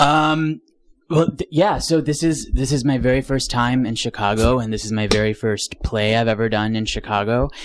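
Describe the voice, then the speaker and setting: This man has a General American accent and a medium pitch. He talks at a moderate pace with ordinary pitch variation. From US Northeast, Rochester, New York. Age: young. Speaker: stage actor. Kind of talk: interview. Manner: articulate.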